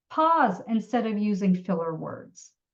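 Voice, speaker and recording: Her pitch swinging very widely, a woman speaks in a somewhat breathy voice. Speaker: health professions advisor. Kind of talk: webinar presentation. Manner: deliberately slowed, enunciated.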